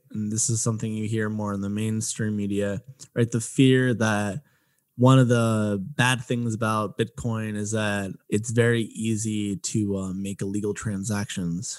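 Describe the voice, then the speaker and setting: In a very clean recording with a silent background, a man with an American accent speaks at a fairly slow pace in a plain, everyday voice. His pitch is fairly low and his intonation fairly even. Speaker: podcast host. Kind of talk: interview chat.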